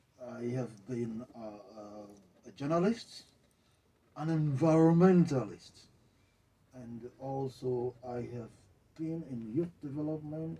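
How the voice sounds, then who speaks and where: A man speaks very slowly with long, frequent pauses and big swings in loudness. His tone is dark and mellow, and somewhat breathy. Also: medium pitch for a man, lively intonation. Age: 60s. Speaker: journalist. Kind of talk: interview. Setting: studio.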